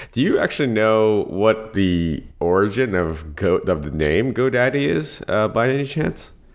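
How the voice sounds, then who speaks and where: At a moderate pace, a man with a fairly low pitch and lively intonation speaks in an unremarkable speaking voice. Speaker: podcast host. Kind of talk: interview.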